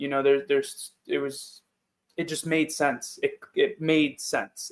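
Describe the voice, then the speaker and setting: Speaking at a fairly slow pace, a man talks with a New York accent. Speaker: football player. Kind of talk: interview. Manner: loud.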